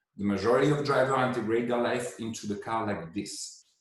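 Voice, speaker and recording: A man with a non-native accent talks at a fairly quick pace in a somewhat breathy voice of medium pitch, with audible room echo. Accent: foreign accent in English. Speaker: head of design at a tech company. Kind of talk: pre-recorded presentation. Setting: remote video with screen share.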